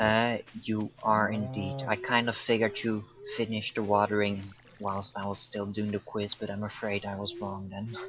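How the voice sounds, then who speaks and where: With a Dutch accent, a man with a fairly low pitch talks at a moderate pace in a monotone, flat intonation. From Netherlands. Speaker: gaming co-host. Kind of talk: casual chat.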